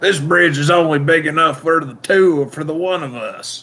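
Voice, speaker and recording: Putting on a character voice with a Texan accent, a man speaks at a moderate pace and a fairly high pitch. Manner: exaggerated, overdriven.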